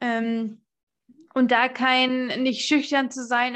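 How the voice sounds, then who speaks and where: Her intonation stays monotone and flat. This woman's voice sits high in pitch. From United States. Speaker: podcast host. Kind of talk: podcast interview.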